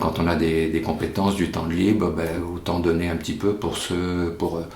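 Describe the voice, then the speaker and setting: A man speaks in a very deep, low voice with monotone, flat intonation. Noticeable background noise and audible room echo fill the recording. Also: moderate pace. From France, Angoulême (childhood partly in Africa). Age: 60s. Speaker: volunteer hiking group leader, retiree. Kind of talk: interview. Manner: halting, many fillers.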